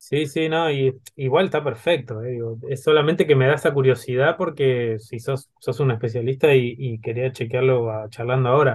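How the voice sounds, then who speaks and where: This man speaks at a moderate pace with hardly any pauses. His voice is somewhat breathy, and his intonation fairly even. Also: medium pitch for a man. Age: 30s. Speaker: podcast host. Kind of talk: interview.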